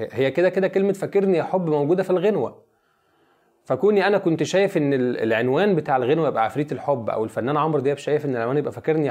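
Against a quiet background, a man talks at a very fast pace with a fairly high pitch and lively intonation. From Egypt, Giza (Abu El Numrus village near Haram); Egypt. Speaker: song lyricist; guest. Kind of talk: interview. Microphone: lapel.

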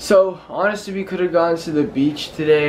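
A man's words come through with light noise in the background. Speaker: vlogger. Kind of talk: casual vlog chat. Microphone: phone near.

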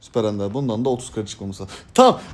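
The man speaks in an animated tone. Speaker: gaming youtuber. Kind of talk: gameplay commentary.

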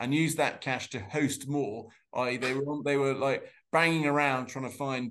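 A man's medium-pitched voice at a moderate pace, fairly bright in tone, with audible room echo. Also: fairly even intonation.

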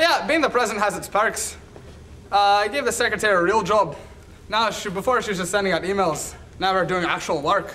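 Raised, projected male voice at a fairly quick pace, ordinary pitch variation, light background noise. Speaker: student actor. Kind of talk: comedic scripted monologue.

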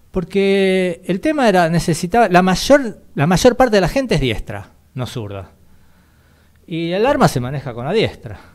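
Against a quiet background, a man with a high voice swings very widely in pitch and shows big swings in loudness. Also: fairly slow pace. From Argentina. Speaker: radio co-host, history segment; radio co-host. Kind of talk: radio talk show, history explainer. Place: studio. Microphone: studio mic.

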